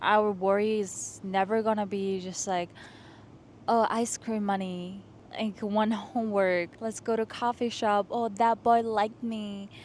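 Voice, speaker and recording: A woman with a non-native accent speaks at a fairly slow pace. Her voice sits fairly high. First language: not English. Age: 20s. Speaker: lifestyle vlogger. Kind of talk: casual vlog monologue. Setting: outdoors on a rooftop. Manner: animated.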